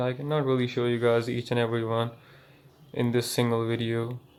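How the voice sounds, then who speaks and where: A man of medium pitch with a non-native accent, speaking at a fairly quick pace. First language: not English. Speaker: gaming YouTuber. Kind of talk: setup tour vlog. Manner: halting, many fillers.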